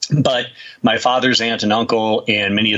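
With fairly even intonation, a man talks at a fairly low pitch and moderate pace over noticeable background noise. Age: 50s. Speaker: UFO researcher and author. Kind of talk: interview. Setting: remote call.

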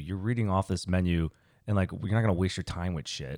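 At a fairly quick pace, a man uses a normal speaking voice with ordinary pitch variation, recorded very clean with a silent background and a dry, close sound with no echo. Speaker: podcast co-host. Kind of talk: casual chat.

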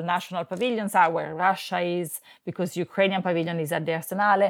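At a fairly quick pace, a woman with an Italian accent speaks in a fairly low pitch with fairly even intonation, on a very clean recording with a silent background. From Italy. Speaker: art curator. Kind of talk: interview.

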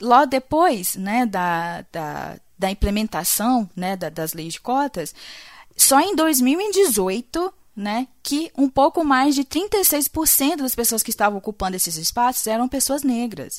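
A woman speaks very slowly in a high pitch, with very wide pitch swings. The recording is very clean, with a silent background. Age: 20s. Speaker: podcaster and PhD student in microbiology. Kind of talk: casual discussion.

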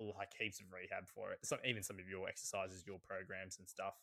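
A man with an Australian accent, bright and sharp in tone, in a dry, close sound with no echo. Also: very clean recording, silent background. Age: 20s. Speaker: physiotherapist and sprint coach. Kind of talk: casual chat.

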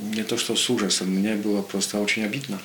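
With a Polish accent, a man speaks amid noticeable background noise and audible room echo. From Poland. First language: Polish (speaking Russian). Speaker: political commentator. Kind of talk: radio interview.

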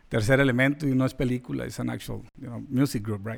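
A man's very fast speech with fairly even intonation. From Mexican-American. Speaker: podcast host. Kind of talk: podcast interview. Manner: casual, code-switching.

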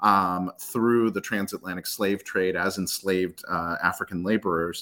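In a slight American accent, the voice has a bright, sharp tone at a moderate pace on a very clean recording with a silent background. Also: man. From Ethiopia-born, raised in US. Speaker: nonprofit founder and immigrant advocate. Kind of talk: interview discussion.

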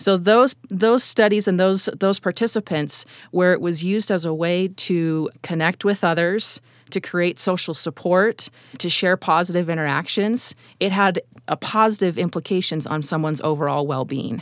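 A woman talks at a moderate pace in an ordinary speaking voice, fairly low in pitch with ordinary pitch variation. The recording is very clean and dry, close with no echo, and the background is silent. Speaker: university researcher. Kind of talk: interview.

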